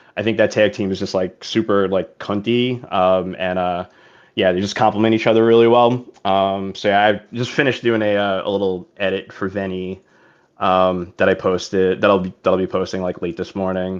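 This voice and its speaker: With an American accent, a man speaks at a moderate pace in a fairly low pitch and fairly even intonation. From New York. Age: 40s. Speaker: podcast guest, wrestling fan. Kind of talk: casual chat. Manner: halting, many fillers.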